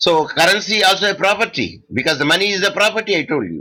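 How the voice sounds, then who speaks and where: A man's raised, projected voice, high in pitch, with a bright, sharp tone. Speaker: law lecturer. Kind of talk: online lecture. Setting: online video class. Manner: loud; halting.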